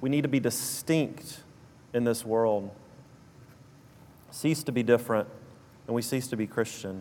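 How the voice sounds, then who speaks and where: A man in a southern Alabama accent, medium in pitch with a dark, mellow tone, ordinary pitch variation and long, frequent pauses. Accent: South Alabama drawl. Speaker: preacher. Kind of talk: sermon.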